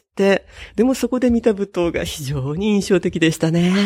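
A woman speaks in a somewhat breathy voice with very wide pitch swings. The recording is very clean with a silent background and a dry, close sound with no echo. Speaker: butoh dancer and software developer. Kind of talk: interview. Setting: at home.

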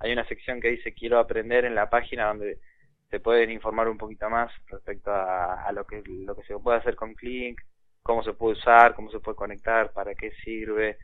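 A man speaks at a fairly quick pace, his medium-pitched voice held in a monotone, flat delivery. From Argentina. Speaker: inventor of educational electronics kits. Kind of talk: interview. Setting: phone call.

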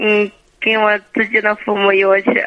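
A woman is speaking. Her pace is moderate. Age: 20s. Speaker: caller. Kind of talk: phone-in advice call. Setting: phone call. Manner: halting.

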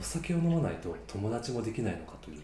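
A man is talking. The room adds audible echo. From Japan, Yamaguchi Prefecture. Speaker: podcast host. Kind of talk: casual chat.

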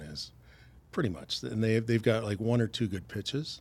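A man with a Canadian accent and a fairly low pitch has a plain, everyday voice, captured on a very clean recording with a silent background. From Canada, Stratford, Ontario. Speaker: retired firefighter and former baseball player. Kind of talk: casual interview.

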